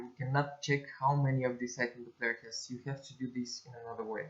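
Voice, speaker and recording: A speaker with a non-native accent talks at a very fast pace in a somewhat breathy voice. The intonation is monotone and flat. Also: man. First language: not English. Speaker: game development tutorial creator. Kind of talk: screen-recorded tutorial. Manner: halting, many fillers and self-corrections.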